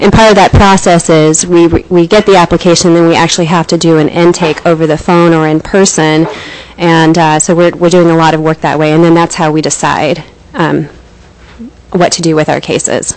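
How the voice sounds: A soft-spoken woman talks at a moderate pace with little pitch movement. Her voice is low-pitched, with a slightly mellow tone.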